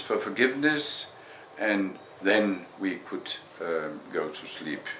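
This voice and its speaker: A man with a Danish accent speaks at a very slow pace with lively intonation, against noticeable background noise and audible room echo. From Denmark. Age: 60s. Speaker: vlogger. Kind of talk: personal testimony. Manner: halting, many fillers.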